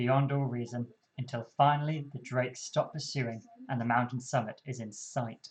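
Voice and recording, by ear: The passage is read aloud in a natural voice with intonation that stays fairly even.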